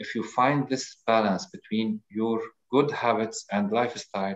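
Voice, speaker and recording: Speaking at a fairly slow pace, a man with a medium pitch and an Arabic accent keeps his intonation fairly even. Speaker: audience participant. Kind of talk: casual chat. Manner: halting.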